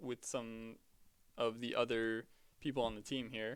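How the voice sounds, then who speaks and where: A man is speaking here. He has an American accent. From United States. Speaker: game commentator. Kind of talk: live commentary. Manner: hesitant, filler-heavy.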